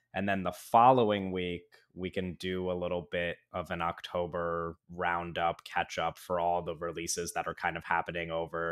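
A man's very deep, low voice, flat and monotone, with hardly any pauses against a quiet background. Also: moderate pace. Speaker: podcast host. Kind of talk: podcast intro chat. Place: home room. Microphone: video call.

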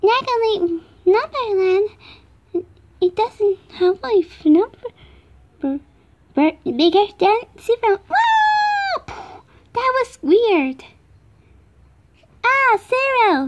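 A put-on character voice at an extremely high pitch, very slow, with long, frequent pauses. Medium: dub. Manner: upbeat, playful.

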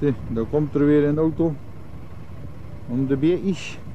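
Fairly high in pitch, a man speaks with fairly even intonation. The sound is dry with no echo, over light background noise. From Zeeuws-Vlaanderen, Netherlands. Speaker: agricultural contractor. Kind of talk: casual commentary while filming. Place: farm machine. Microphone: old recording.

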